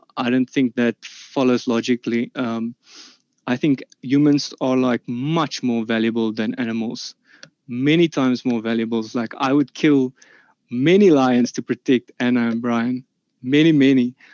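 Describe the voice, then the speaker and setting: A man with a South African accent speaks at a medium pitch and a moderate pace with fairly even intonation, recorded dry and close with no echo against a quiet background. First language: Afrikaans. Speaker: debater. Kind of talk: formal debate statement. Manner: halting, many fillers.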